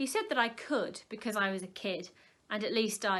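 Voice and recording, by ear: The voice is a natural one. It is reading text aloud.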